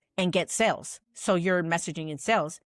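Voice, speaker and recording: An animated woman's voice, fairly low in pitch, dry and close with no echo, on a very clean recording with a silent background. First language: Spanish. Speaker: messaging and sales strategist, podcast host. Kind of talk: casual podcast monologue. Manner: fast.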